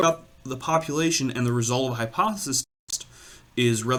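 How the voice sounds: Pitch variation is ordinary in a natural reading voice. Nothing intrudes from the quiet background.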